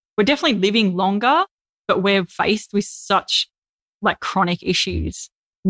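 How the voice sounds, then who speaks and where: A woman's medium-pitched voice with an Australian accent at a moderate pace, recorded very cleanly over a silent background, dry and close with no echo. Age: 30s. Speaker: vegan influencer and author. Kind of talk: casual interview.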